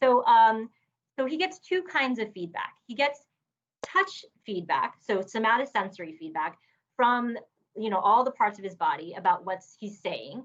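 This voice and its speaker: Her voice is fairly high and moves through very wide pitch swings. The woman keeps a moderate pace. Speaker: neuroscience professor. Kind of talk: lecture.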